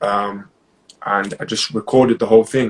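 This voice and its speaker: At a moderate pace, a man with an East Midlands accent speaks at a medium pitch in a flat monotone. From Nottingham, England. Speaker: property investor. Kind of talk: interview. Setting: live stream.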